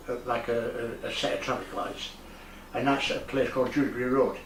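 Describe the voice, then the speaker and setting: Audible room echo surrounds a man speaking with a Yorkshire accent. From northern England (Leeds, Yorkshire). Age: 70s. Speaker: retired resident and amateur painter. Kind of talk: interview. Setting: at home in his conservatory. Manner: halting.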